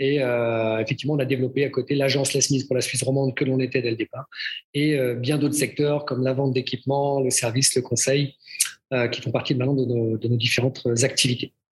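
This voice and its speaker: The voice moves at a fairly quick pace with very even loudness. Its intonation is monotone and flat. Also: man, medium pitch for a man. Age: 50s. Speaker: fitness school director. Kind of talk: casual interview.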